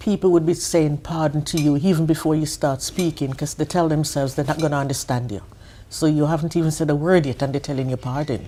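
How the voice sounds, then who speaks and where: A woman talks at a very fast pace in a very deep, low pitch with a dark, mellow tone. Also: fairly even intonation. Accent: Caribbean. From Jamaica. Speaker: adult learner, interviewee. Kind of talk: interview.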